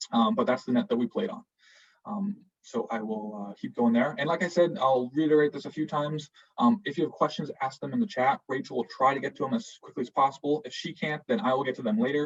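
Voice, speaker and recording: A man talks at a very fast pace with a fairly high pitch and a somewhat breathy sound. His pitch swings very widely. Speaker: Peace Corps recruiter and returned volunteer. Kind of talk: online info session presentation. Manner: hesitant with many fillers.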